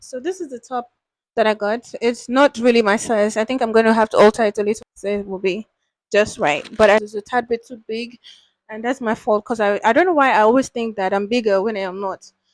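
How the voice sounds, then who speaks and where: A woman's fairly high voice at a fairly quick pace, with ordinary pitch variation, big swings in loudness, and a dry, close sound with no echo. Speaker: beauty and fashion haul vlogger. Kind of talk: casual unboxing vlog.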